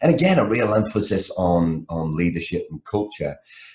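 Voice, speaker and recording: A man in a Liverpool accent, his pitch very deep and low. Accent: Liverpool (Scouse) English. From England, Liverpool. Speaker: project management speaker and trainer. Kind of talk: podcast interview. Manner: lively.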